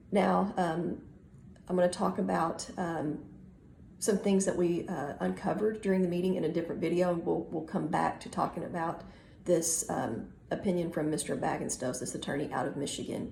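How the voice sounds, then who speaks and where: This woman's voice has vocal fry and a fairly low pitch. She speaks at a moderate pace. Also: ordinary pitch variation. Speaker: organization member and advocate. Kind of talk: casual talk to camera.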